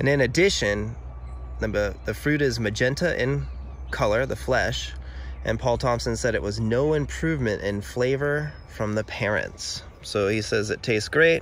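Light background noise sits under a man speaking at a moderate pace, in a dry sound with no echo. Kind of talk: tutorial. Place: garden. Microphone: phone near.

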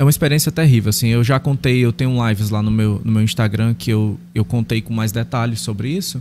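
Light background noise sits behind a man with a dark, mellow tone and medium pitch. He talks fairly quickly with ordinary pitch variation and hardly any pauses. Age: 30s. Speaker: pastor. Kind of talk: interview testimony. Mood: earnest, personal storytelling. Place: studio. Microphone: studio mic.

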